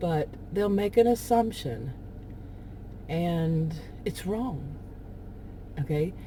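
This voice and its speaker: A woman with an American accent, somewhat breathy and dark, mellow in tone, fairly low in pitch with lively intonation, at a very slow pace with long, frequent pauses. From Texas. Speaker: vlogger. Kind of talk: casual monologue. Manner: rambling, hesitant.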